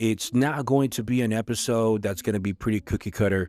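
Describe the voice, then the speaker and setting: A fast-talking man with a Spanish accent, at a fairly quick pace with fairly even intonation. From Central America, moved to US at about eight. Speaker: podcast host. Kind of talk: personal monologue. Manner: earnest, measured.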